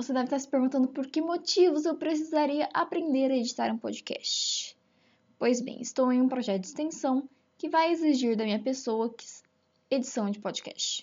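A woman speaks at a moderate pace with a high pitch. Her tone is animated. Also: ordinary pitch variation. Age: 20s. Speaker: veterinary student, amateur podcaster. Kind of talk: casual solo monologue.

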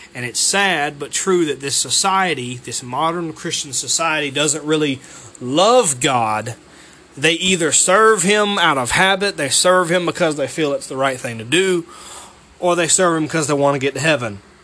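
Noticeable background noise sits behind a man with a Southern US accent. His fairly high voice moves at a moderate pace with lively intonation. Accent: Southern US (Georgia). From US South, Georgia. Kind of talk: devotional monologue. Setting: alone at home.

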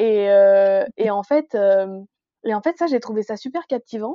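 Lively intonation marks this woman's fairly high-pitched voice. She keeps a moderate pace. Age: 20s. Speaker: book blogger. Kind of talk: casual chat.

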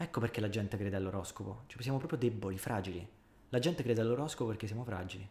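Somewhat breathy, a man speaks at a medium pitch and a very fast pace. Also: ordinary pitch variation. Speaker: podcast co-host. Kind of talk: casual chat.

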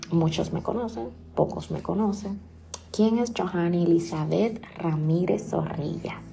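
A woman's fairly slow speech carries audible room echo. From Dominican Republic (San Pedro de Macorís). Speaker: podcaster. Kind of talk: personal storytelling monologue.

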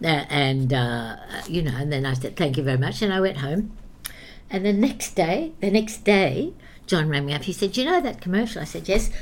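A woman's fairly low voice with very wide pitch swings, in audible room echo. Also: moderate pace. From England, raised in Australia from childhood. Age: 80s. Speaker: actress and dance teacher. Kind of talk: casual interview. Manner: animated, frequent laughter.

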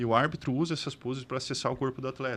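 Very fast speech from a man at a medium pitch, with ordinary pitch variation. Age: 40s. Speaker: bodybuilding athlete. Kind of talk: casual chat.

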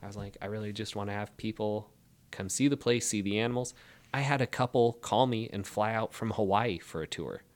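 A man with an American accent talks in a normal speaking voice. His pitch is fairly low and his pace fairly quick. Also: fairly even intonation. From Spokane, Washington. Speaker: cattle rancher. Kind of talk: casual interview.

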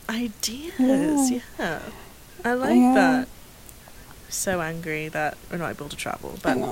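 Very slowly, a woman speaks at a fairly high pitch with very wide pitch swings and big swings in loudness, over noticeable background noise. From England, living in Canada. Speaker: podcast co-host.

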